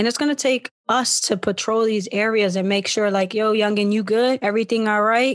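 Over a quiet background, a woman with a fairly high pitch uses a normal speaking voice and fairly even intonation. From Philadelphia. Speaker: podcast host. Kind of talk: casual chat.

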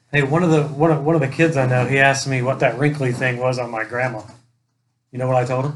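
Speaking at a very fast pace, a man uses a somewhat breathy voice of medium pitch with fairly even intonation. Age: 40s. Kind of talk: casual chat with jokes.

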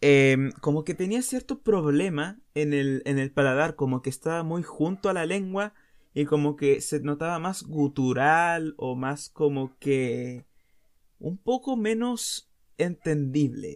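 A man with a Chilean accent, fairly high-pitched, at a very slow pace with lively intonation, on a very clean recording over a silent background. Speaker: podcast host. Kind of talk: casual monologue.

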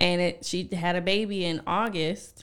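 This is a woman with a normal speaking voice, fairly low in pitch and with fairly even intonation. The recording is very clean, with a silent background. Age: 20s. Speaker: podcast co-host and teacher. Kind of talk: casual chat.

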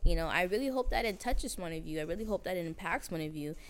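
A woman is speaking. The pitch of her voice rises and falls very widely. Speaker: podcast host. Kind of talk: casual chat. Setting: barber shop, filmed. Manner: fast talker.

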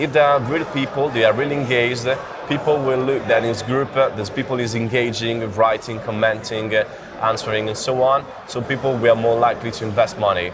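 Through noticeable background noise, a man at a medium pitch talks at a fairly quick pace with fairly even intonation. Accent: Italian. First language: Italian. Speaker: growth hacker. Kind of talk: interview. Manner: halting.

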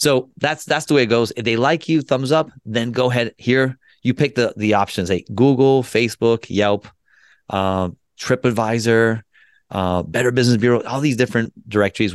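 Here is a man with an ordinary speaking voice, medium in pitch with ordinary pitch variation. He talks at a fairly quick pace in a dry, close sound with no echo. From US, moved from Colombia at age two. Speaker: business founder, Air Force veteran. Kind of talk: podcast interview. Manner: casual, many fillers and repeats.

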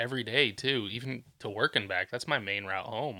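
At a moderate pace, a man speaks in a medium pitch with a bright, sharp tone and fairly even intonation. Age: 30s. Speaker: podcast co-host. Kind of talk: casual chat. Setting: bedroom in a new apartment.

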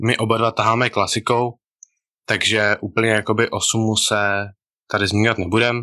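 Against a quiet background, a man with a medium pitch and a bright, sharp tone speaks at a moderate pace with fairly even intonation. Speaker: powerlifter podcast co-host. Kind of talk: casual chat. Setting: video call.

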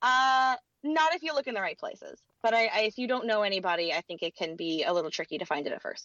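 This woman talks at a very fast pace with a fairly high pitch. Her pitch swings very widely. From Louisiana. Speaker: voice actor. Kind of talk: interview. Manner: energetic.

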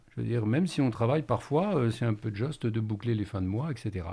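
The background is quiet. A man with a fairly low, dark, mellow voice uses lively intonation. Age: 60s. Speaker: retired primary school teacher. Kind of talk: radio panel discussion.

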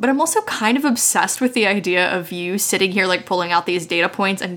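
With an American accent, a woman speaks at a very fast pace and a medium pitch with ordinary pitch variation, over noticeable background noise. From West Virginia, US. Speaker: podcaster and game designer. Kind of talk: role-playing game actual play; casual chat.

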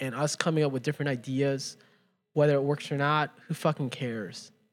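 Fairly high-pitched male voice with an American accent, a normal speaking voice with fairly even intonation at a moderate pace. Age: 30s. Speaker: podcast co-host. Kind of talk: casual chat.

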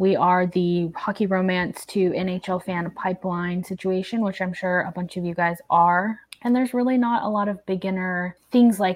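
An ordinary speaking voice from a woman with an American accent, medium pitch, ordinary pitch variation and moderate pace, on a very clean recording with a silent background. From Oklahoma. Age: 30s. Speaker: podcast host. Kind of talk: casual chat.

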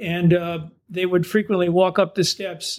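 A man with an American accent speaks in a high voice. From US East Coast. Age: 70s. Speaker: novelist. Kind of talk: interview. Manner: halting, many fillers.

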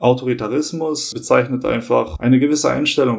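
He has an ordinary speaking voice. This man's delivery is moderately paced, with fairly even intonation. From Hamburg, northern Germany (born in Kosovo). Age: 30s. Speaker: law student. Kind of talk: podcast interview.

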